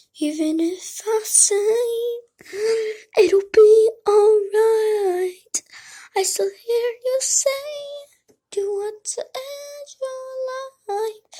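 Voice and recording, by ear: A female-sounding put-on character voice at an extremely high pitch moves at a very slow pace with long, frequent pauses.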